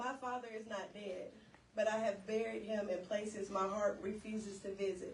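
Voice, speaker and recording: A woman at medium pitch speaks with monotone, flat intonation against noticeable background noise. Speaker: spoken word poet. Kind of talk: spoken word poetry performance. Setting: live event.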